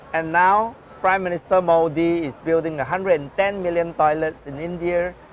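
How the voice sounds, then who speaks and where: A high-pitched male voice at a moderate pace, with noticeable background noise. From Singapore. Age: 60s. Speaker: social entrepreneur. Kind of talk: interview.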